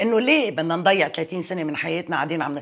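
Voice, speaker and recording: Her intonation is lively and her pitch fairly low. The woman is heard over a quiet background. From Lebanon, Metn; Lebanon. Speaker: parliamentary candidate; candidate. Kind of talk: interview. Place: home room. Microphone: lapel.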